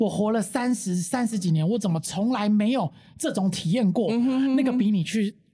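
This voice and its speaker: At a fairly quick pace, a woman with a fairly high pitch, a dark, mellow tone and a somewhat breathy quality keeps very even loudness and ordinary pitch variation. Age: 30s. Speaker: sex toy shop representative. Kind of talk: casual chat.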